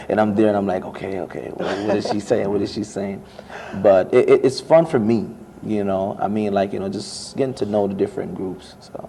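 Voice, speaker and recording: Over noticeable background noise, a man with a Jamaican accent speaks at a fairly quick pace in a fairly low pitch. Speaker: international student, student club officer. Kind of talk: interview. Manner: casual, conversational.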